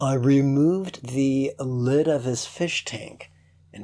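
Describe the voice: The recording is plain reading aloud.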